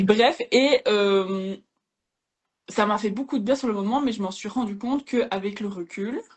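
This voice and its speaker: At a fairly slow pace with long, frequent pauses, a woman with a Liège accent speaks in a somewhat breathy, fairly high voice showing ordinary pitch variation. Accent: Liège Belgian French. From Belgium, Liège area. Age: young. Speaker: podcaster and social media creator. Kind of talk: casual interview chat. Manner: hesitant, many fillers.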